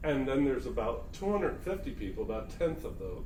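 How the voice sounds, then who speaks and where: Noticeable background noise and audible room echo surround a man with an American accent talking at a fairly quick pace. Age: 60s. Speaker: spiritual talk host. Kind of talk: casual conversation. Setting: recorded talk in Myrtle Beach.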